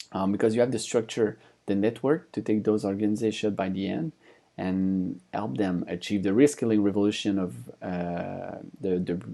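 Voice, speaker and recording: In a French accent, a man speaks with a fairly low pitch and a dark, mellow tone on a very clean recording with a silent background. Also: ordinary pitch variation, moderate pace. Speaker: conference speaker, company founder. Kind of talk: conference presentation. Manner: hesitant, many fillers.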